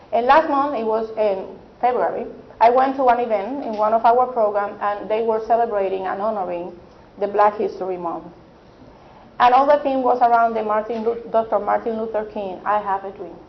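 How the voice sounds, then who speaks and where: A woman with a non-native accent, fairly high pitch, ordinary pitch variation and a moderate pace. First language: not English. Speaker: early childhood advocate. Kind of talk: panel discussion.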